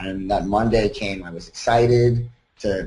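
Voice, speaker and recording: This man has an American accent and a somewhat breathy voice. His intonation is monotone and flat. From US Northeast, Long Island, New York. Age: 30s. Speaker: college student. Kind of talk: personal testimony. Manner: casual, with fillers.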